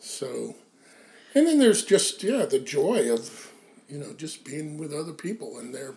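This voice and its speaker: A man speaks at a fairly slow pace. His loudness swings in big ways. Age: 60s. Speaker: founding editor of a mindfulness magazine. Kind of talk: casual conversation interview. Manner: halting, many fillers.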